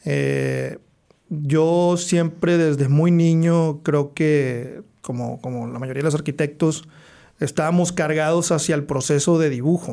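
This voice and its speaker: A man speaks at a very slow pace in a fairly high voice with a dark, mellow tone and fairly even intonation. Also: very clean recording, silent background. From Monterrey, northern Mexico (teen years in the US). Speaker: architect. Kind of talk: casual interview.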